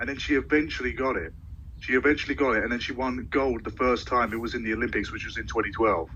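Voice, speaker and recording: A man speaks at a very fast pace with a British accent. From Britain. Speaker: sports social media creator. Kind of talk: casual chat.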